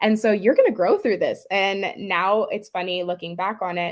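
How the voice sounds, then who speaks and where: In a very clean recording with a silent background, a woman with a normal speaking voice talks at medium pitch and a moderate pace. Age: 20s. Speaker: dance teacher and pageant titleholder. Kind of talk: interview.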